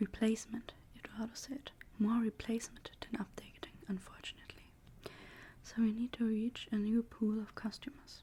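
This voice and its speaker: A soft-spoken woman whispers at a moderate pace, sounding somewhat breathy. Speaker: ASMR creator. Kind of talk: novel reading, narration with dialogue. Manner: soft-spoken, whispered.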